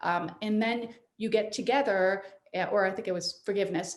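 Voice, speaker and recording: The tone is animated, and audible room echo surrounds the voice. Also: woman. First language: French. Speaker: midlife life coach. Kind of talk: interview.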